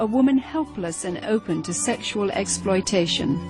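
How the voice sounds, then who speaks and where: A woman is talking at a moderate speed. Behind her, music plays. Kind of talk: documentary narration.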